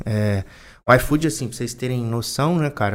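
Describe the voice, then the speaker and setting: His pitch is medium for a man. He keeps his delivery at a moderate pace. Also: very clean recording, silent background. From Brazil, Volta Redonda (Rio de Janeiro state). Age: 30s. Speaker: bar owner. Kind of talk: casual chat.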